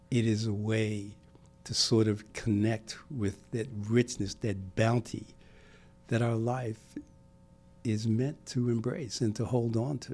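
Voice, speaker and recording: Very slow, monotone, flat speech with an American accent, long, frequent pauses and music in the background. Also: man, medium pitch for a man. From US Northeast, Brooklyn, New York. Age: 70s. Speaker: civic leader. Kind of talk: podcast interview. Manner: halting, with many repetitions.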